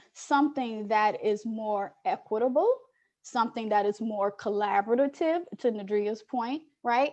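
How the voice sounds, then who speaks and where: Speaking with an American accent, a woman goes at a very slow pace with ordinary pitch variation. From Chicago, South Side. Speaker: education researcher. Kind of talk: panel discussion. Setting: video call. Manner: switching to formal academic English.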